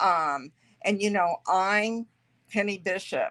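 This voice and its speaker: A woman speaks at a very slow pace with medium pitch and ordinary pitch variation. The recording is very clean with a silent background and a dry, close sound with no echo. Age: 60s. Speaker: podcast guest sharing weight loss journey. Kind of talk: interview testimony. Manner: hesitant, many fillers.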